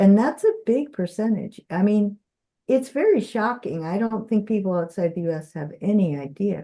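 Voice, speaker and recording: In an American accent, a woman with a medium pitch and a dark, mellow tone talks at a moderate pace with lively intonation. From US Midwest, Minnesota. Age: 70s. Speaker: visiting philosophy professor. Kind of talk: lecture with discussion. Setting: video call.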